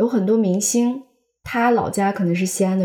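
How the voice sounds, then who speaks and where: Using a plain, everyday voice, a woman speaks at a medium pitch and moderate pace with fairly even intonation. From Xi'an suburbs, China. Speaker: podcast co-host. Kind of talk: casual chat.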